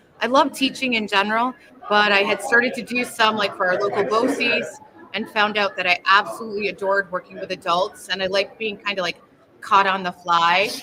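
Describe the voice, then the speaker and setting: Against crowd noise in the background, a woman speaks fairly quickly at a medium pitch with ordinary pitch variation. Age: 60s. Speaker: education trainer. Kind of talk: podcast interview.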